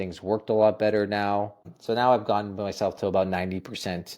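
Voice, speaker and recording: On a very clean recording with a silent background, a man with a Canadian accent and an unremarkable speaking voice talks fairly quickly at a fairly low pitch, his intonation fairly even. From Ontario, Canada (Toronto area). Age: 30s. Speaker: holistic nutritionist. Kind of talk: interview. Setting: podcast recording.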